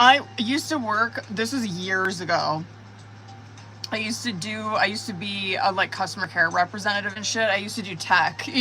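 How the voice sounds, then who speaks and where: A woman speaks at a medium pitch with music playing in the background. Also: ordinary pitch variation. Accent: Montana. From Montana. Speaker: tarot reader. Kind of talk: casual livestream chat. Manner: slow; casual, swearing slang.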